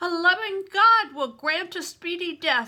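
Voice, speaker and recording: A woman puts on a character voice, raised and projected, at an extremely high pitch. She goes at a fairly slow pace. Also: ordinary pitch variation. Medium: read story. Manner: weary, blunt.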